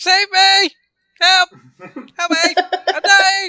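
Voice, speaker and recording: A put-on character voice does the talking. The pitch sits extremely high. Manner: frantic shouting, comic overacting.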